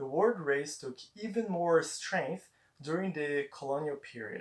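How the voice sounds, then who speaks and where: A man with a Portuguese accent speaks at a fairly slow pace, his fairly high pitch carrying lively intonation. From Brazil. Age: 20s. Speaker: student. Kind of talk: persuasive speech presentation.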